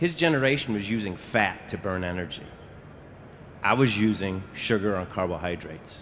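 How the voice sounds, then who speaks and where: Lively intonation from a man at a moderate pace, with audible room echo. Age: 60s. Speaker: audience member asking a question. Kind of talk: audience Q&A comment. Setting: convention hall presentation with audience. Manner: halting, with fillers and repeats.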